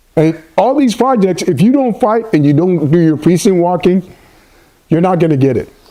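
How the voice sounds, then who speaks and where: This man's voice sits high for a man, with very even loudness, an animated tone and lively intonation. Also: moderate pace. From Ghana. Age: 60s. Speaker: union construction laborer. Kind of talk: interview.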